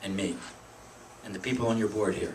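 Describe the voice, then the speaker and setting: The voice carries a Pennsylvania accent. Audible room echo is present in the recording. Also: man. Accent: Pennsylvania American. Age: 60s. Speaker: political activist. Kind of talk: speech to a meeting. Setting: meeting room with audience. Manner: halting.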